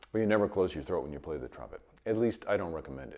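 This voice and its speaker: A man talks at a very fast pace. His tone is dark and mellow, with vocal fry. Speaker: trumpet teacher. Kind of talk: tutorial. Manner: halting.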